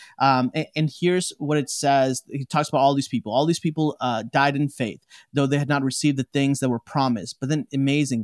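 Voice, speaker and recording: An energetic, fairly quick American-accented man at a fairly high pitch, with hardly any pauses, a dry, close sound with no echo, and a very clean recording with a silent background. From Chicago, US Midwest. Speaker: theologian. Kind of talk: interview conversation.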